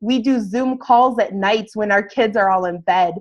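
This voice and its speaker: In a normal speaking voice, a woman talks at a fairly slow pace with a fairly high pitch and ordinary pitch variation against a quiet background. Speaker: fitness business coach. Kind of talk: webinar sales presentation. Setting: video call webinar.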